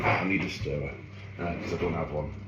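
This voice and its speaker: A man's very deep, low voice in a Geordie accent, with audible room echo and noticeable background noise. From northeast England, Ashington, Northumberland. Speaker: cooking YouTuber. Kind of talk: casual cooking tutorial vlog. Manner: chatty, self-deprecating asides.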